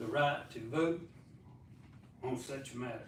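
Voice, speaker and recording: Speaking in a Southern US accent, a man with a medium pitch talks at a fairly slow pace and sounds somewhat breathy. His intonation is fairly even, and audible room echo surrounds the voice. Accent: Southern US (Georgia). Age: 80s+. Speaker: resident giving public comment. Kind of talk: public comment at council meeting. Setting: city council meeting. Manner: halting.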